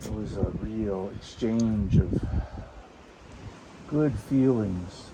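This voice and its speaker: Amid noticeable background noise, a man with an American accent speaks very slowly, leaving long, frequent pauses. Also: fairly low pitch for a man, ordinary pitch variation. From Boston. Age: 70s. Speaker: whistler. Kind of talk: interview answer. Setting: lava tube cave.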